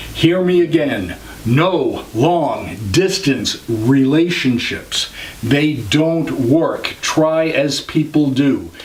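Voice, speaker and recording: A man with a fairly high pitch and ordinary pitch variation talks at a very slow pace and very even loudness, with audible room echo and noticeable background noise. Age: 60s. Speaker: vlogger. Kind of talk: advice vlog.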